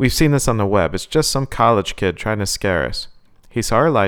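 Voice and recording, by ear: Someone is reading aloud in a natural voice, and the intonation stays lively.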